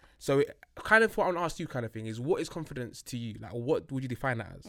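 With a slight Cockney accent, a man talks very fast at medium pitch with lively intonation. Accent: slight Cockney, London. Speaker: podcast host.

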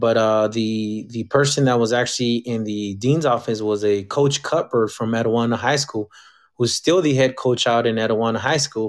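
The man has a plain, everyday voice at a medium pitch, with fairly even intonation. He talks at a moderate pace in a very clean recording with a silent background. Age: 30s. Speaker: nursing student. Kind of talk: casual interview.

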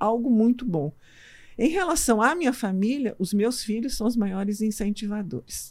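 Breathy to some degree, a woman speaks at a moderate pace in a fairly high pitch with lively intonation. The recording is very clean, the background silent. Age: 60s. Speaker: pediatrician and medical school lecturer, marathon runner. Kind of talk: casual interview chat.

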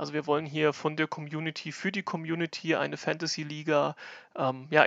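A man with a plain, everyday voice speaks at a fairly quick pace. His pitch is fairly high, with fairly even intonation. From Germany, Rhineland-Palatinate (near Kaiserslautern). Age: 20s. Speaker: fantasy football player and league organiser. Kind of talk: podcast explainer.

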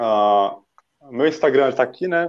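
With lively intonation, a man talks at a medium pitch in an unremarkable speaking voice. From Brazil, Santo André (São Paulo). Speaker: runner, former track athlete. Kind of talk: interview on live stream. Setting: live online stream.

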